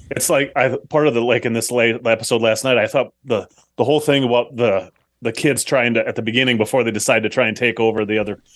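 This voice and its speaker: A man speaks in an ordinary speaking voice at medium pitch. His pace is fairly quick, with fairly even intonation. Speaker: podcast guest. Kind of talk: casual chat.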